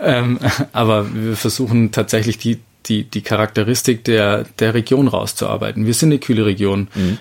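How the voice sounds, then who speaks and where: A man has an ordinary speaking voice with a fairly low pitch. He talks at a moderate pace. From Bavarian Lake Constance shore, Germany. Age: 30s. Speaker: winemaker. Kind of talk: interview.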